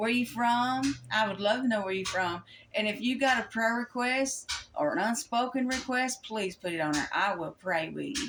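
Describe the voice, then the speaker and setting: Lively intonation and a Kentucky accent come through over noticeable background noise. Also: woman. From Kentucky, US. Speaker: Bible study YouTuber. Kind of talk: Bible study talk. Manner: halting, with many fillers.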